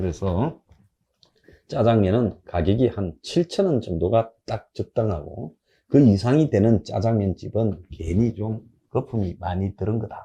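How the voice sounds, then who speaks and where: A medium-pitched man's somewhat breathy voice with a dark, mellow tone, over a quiet background. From South Korea, Gyeongsang (Busan area). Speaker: political commentator. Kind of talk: political commentary monologue. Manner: animated, colloquial.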